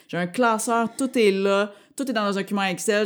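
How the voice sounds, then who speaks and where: A very clean recording with a silent background carries a woman's voice. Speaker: comedian. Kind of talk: casual chat.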